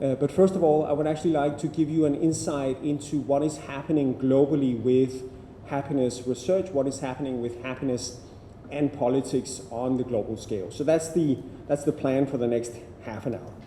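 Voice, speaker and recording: Over noticeable background noise, a man with a Danish accent talks at a fairly quick pace with a fairly high pitch and fairly even intonation. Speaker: happiness researcher, keynote speaker. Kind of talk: keynote talk. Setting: university lecture room with audience. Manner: halting with repetitions.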